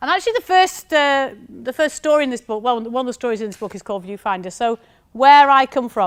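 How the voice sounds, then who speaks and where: A woman's high-pitched voice with a strong northern English accent and lively intonation, on a very clean recording with a silent background. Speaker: university lecturer, former maths teacher. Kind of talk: conference talk.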